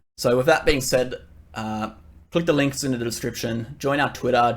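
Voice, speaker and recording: A man talks at a very fast pace in a medium pitch. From Australia. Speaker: crypto trader and YouTuber. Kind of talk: market analysis tutorial. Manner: casual with filler words.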